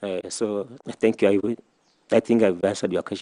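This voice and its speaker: A man with a Kenyan coastal accent, in a dry, close sound with no echo. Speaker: nominee being vetted, statistician. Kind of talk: vetting interview answers. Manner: halting, repetitive.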